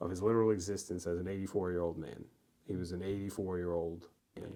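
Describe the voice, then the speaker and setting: A man with an American accent on a very clean recording with a silent background. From New York (Mount Vernon, near the Bronx). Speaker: poet. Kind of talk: casual chat. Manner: halting.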